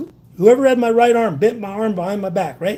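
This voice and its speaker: The voice is loud, moving at a fairly quick pace with ordinary pitch variation. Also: man. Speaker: citizen journalist interviewing police officer. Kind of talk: confrontational interview.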